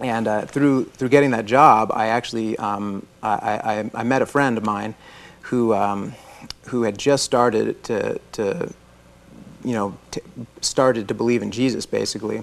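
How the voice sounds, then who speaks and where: A man speaks with an American accent at a fairly slow pace. His intonation stays fairly even. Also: medium pitch for a man. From Florida. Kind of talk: interview testimony. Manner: halting.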